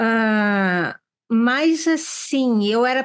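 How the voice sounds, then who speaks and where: Against a quiet background, a woman speaks with a high pitch and lively intonation. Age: 60s. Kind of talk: panel discussion.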